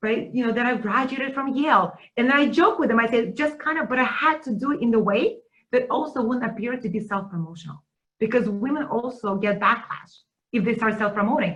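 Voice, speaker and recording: A woman speaks at a fairly quick pace. Her high voice carries lively intonation. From Russia. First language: Russian. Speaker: teaching center director. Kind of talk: webinar conversation. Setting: video webinar.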